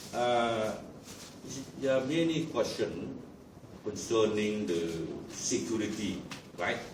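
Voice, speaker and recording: A man with a Lao accent speaks at a very slow pace with long, frequent pauses and lively intonation, amid audible room echo and noticeable background noise. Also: medium pitch for a man. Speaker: delegate. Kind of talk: panel discussion.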